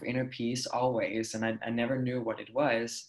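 This man speaks with a Danish accent. His intonation is monotone and flat. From Denmark. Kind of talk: casual interview chat.

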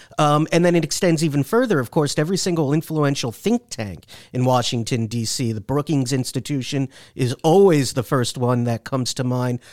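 A plain, everyday voice talks at a fairly quick pace in a very clean recording with a silent background and a dry, close sound with no echo. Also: man, fairly high pitch for a man, ordinary pitch variation. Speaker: senior writer and foreign policy reporter. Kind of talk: casual chat. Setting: studio.

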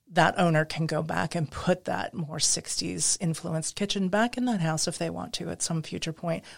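A woman with a fairly low pitch and vocal fry speaks at a moderate pace with ordinary pitch variation and hardly any pauses. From US Midwest. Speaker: interior designer and historic preservation expert. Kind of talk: interview conversation. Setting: studio.

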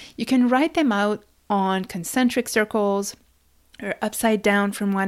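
In an ordinary speaking voice, a woman of medium pitch talks at a fairly slow pace with ordinary pitch variation. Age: 30s. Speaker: podcast host. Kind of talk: solo podcast monologue. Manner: calm, guiding.

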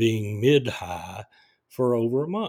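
Over a very clean recording with a silent background, a man talks in an ordinary speaking voice at medium pitch with ordinary pitch variation. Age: 60s. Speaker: podcaster sharing diabetes experience. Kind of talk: personal monologue. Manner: casual with filler words.

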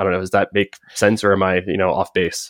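A man with an American accent talks at a fairly quick pace in a very deep, low pitch and monotone, flat intonation, the sound dry and close with no echo in a very clean recording with a silent background. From United States. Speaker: football stats podcast host. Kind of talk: casual interview chat.

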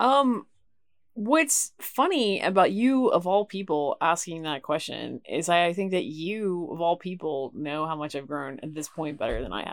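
With an American accent, a woman has an ordinary speaking voice, fairly low in pitch, with lively intonation and big swings in loudness. She speaks at a moderate pace on a very clean recording with a silent background. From Knoxville, Tennessee, US South. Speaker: producer and professor. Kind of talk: casual chat. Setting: outdoors by a lake cabin.

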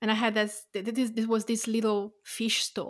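A woman with an Italian accent speaks at a moderate pace in a fairly high pitch. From Tuscany, Italy. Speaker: podcast host, food writer. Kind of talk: casual interview chat. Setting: remote call.

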